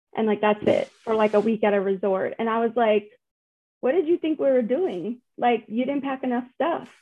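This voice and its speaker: The delivery keeps a moderate pace, and the intonation stays lively throughout. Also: woman, fairly high pitch for a woman. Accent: Southern US. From US South. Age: 30s. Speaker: spouse of a recovering alcoholic. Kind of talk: casual interview.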